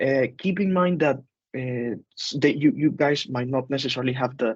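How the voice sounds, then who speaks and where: Fairly high-pitched male voice at a moderate pace, with ordinary pitch variation. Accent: Spanish. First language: Spanish. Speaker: teacher. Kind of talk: group discussion. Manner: hesitant, many fillers.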